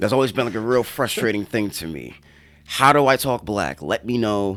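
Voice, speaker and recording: A man with a Northeastern US accent, medium in pitch. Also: ordinary pitch variation, moderate pace. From New York. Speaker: podcast co-host. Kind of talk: casual chat.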